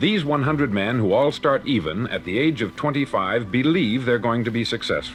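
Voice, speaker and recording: A man with a plain, everyday voice at a medium pitch, ordinary pitch variation and a fairly quick pace. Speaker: motivational speaker. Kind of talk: motivational spoken word record.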